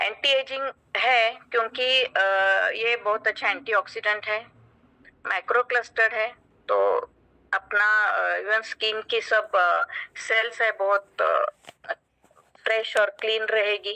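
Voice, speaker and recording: A woman with a fairly high pitch speaks with long, frequent pauses in a dry, close sound with no echo. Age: 50s. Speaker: doctor giving product testimonial. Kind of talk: testimony. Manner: halting, frequent fillers.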